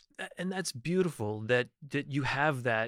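On a very clean recording with a silent background, a man with a plain, everyday voice talks at medium pitch and a moderate pace. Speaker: podcast host and cannabis lawyer. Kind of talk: interview conversation. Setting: studio.

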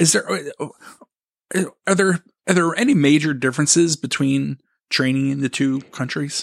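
A man's normal speaking voice, fairly high in pitch, at a fairly slow pace, with a dry, close sound and no echo. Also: ordinary pitch variation. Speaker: podcast host. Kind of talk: casual interview chat.

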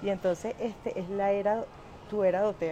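A woman speaks with a Venezuelan accent. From Venezuela (Caracas). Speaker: social media influencer and wellness product seller. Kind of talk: casual live stream monologue. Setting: airport. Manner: animated. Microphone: quiet microphone.

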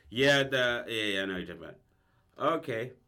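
This man's voice sits at a medium pitch. It shows ordinary pitch variation. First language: English, some Spanish only. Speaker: podcast co-host. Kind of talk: casual improvised storytelling chat.

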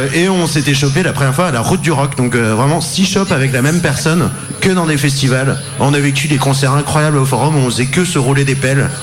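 A man talking at a fairly quick pace with ordinary pitch variation, music playing in the background. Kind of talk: casual banter, joking.

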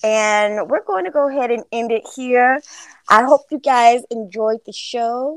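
This woman has a high pitch and an American accent. She talks at a fairly slow pace with ordinary pitch variation. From Florida. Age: 40s. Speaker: podcast host. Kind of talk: interview.

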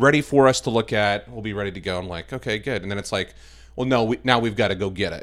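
In a very clean recording with a silent background, a man with an American accent speaks at a very fast pace with ordinary pitch variation. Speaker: video production director. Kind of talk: casual interview chat.

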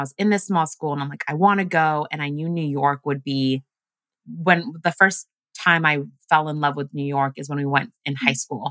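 Speaking in an American accent, a woman has a very deep, low pitch and a bright, sharp tone, with ordinary pitch variation at a fairly quick pace. The sound is dry and close, with no echo. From Uganda, then Washington State US. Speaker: wellness community creator. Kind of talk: casual podcast interview.

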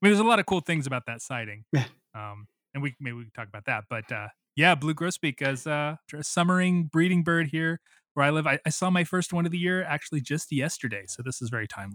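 A man with an American accent talks at a very fast pace, his fairly high pitch carried by lively intonation and big swings in loudness. The sound is dry and close with no echo, in a very clean recording with a silent background. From Missouri, US Midwest. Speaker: birding podcast host. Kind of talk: casual chat.

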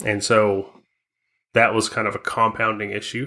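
Bright and sharp in tone, a man with an American accent holds a fairly low pitch and fairly even intonation. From US Southwest. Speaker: off-road vehicle podcast co-host. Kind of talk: casual chat. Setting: video call.

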